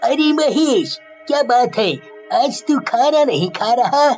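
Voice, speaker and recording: A cartoonish character voice speaks at a fairly slow pace over clear music in the background. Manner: casual, familiar.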